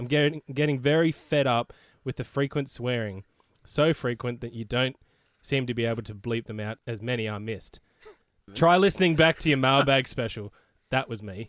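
A man with an Australian accent speaks at a moderate pace and medium pitch, his pitch varying in an ordinary way, in a dry, close recording with no echo. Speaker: podcast co-host. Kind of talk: casual chat.

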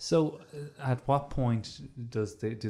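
A man's dark, mellow voice with an Irish accent and ordinary pitch variation. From Ireland. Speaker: comedian and podcaster. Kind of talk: casual chat. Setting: studio.

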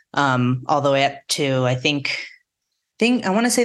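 With an American accent, a woman speaks at a very deep, low pitch. Her pace is moderate. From southeastern Colorado plains. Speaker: off-road navigation company representative. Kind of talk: casual interview.

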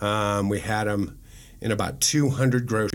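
The speaker has an unremarkable speaking voice with fairly even intonation. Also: man. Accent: American. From Nebraska, Omaha. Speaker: food entrepreneur. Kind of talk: interview. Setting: studio.

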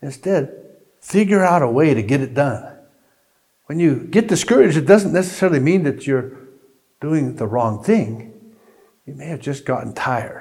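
A man speaks at a moderate pace with a fairly high pitch and lively intonation, a plain, everyday voice. His loudness swings widely. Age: 60s. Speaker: pastor. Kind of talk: sermon.

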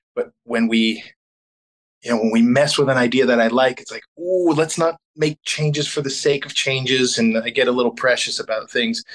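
An ordinary speaking voice varies its pitch in a normal way and keeps a middling tempo. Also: man, medium pitch for a man. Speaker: rock band singer. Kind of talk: casual interview.

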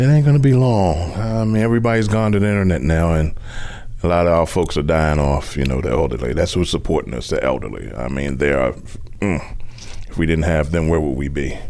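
Over noticeable background noise, a man with a very deep, low pitch talks at a fairly quick pace with very wide pitch swings. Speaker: newspaper circulation manager. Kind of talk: interview.

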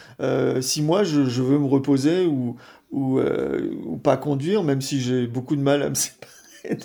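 Fairly slow in pace, a man is talking. His pitch is fairly high. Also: ordinary pitch variation. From Brittany, France (Brest, Finistère). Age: 50s. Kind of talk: interview. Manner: halting, repeats words.

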